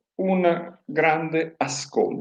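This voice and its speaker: A man with a fairly high pitch and a dark, mellow tone. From Pordenone, Friuli, northeast Italy. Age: 60s. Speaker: mayoral candidate. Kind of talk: interview. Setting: live-streamed TV interview. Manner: measured, formal.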